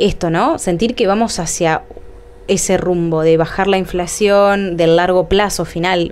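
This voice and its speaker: Against noticeable background noise, a woman with a fairly low pitch speaks at a moderate pace. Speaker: interviewer. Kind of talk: interview.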